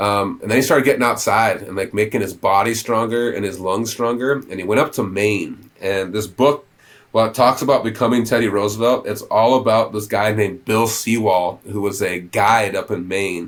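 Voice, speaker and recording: Speaking at a moderate pace with hardly any pauses, a man uses an animated tone and a fairly low pitch. He talks with an American accent. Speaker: conservation advocate. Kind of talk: podcast interview. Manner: many fillers.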